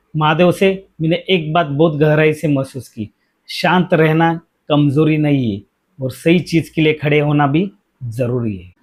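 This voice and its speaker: There is a man with a fairly high pitch. He uses ordinary pitch variation and a normal speaking voice. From India, Mumbai. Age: 40s. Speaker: safety educator and career guide. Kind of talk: personal reflective monologue. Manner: earnest, motivational.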